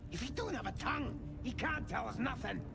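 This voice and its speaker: A man's put-on character voice at a fairly quick pace over loud background noise. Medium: machinima. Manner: crude, ungrammatical.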